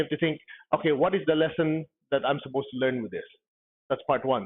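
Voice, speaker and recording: Pitched fairly high, a man's voice rushes along at a very fast pace. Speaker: spiritual teacher. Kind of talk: lecture.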